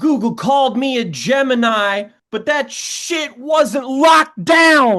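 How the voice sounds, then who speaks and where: Someone puts on a high-pitched character voice. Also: fairly slow pace, hardly any pauses. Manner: silly, comedic.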